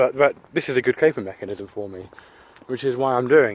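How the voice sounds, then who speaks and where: Noticeable background noise behind a moderately paced, medium-pitched male voice. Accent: English. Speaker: YouTuber. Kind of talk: casual monologue. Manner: halting.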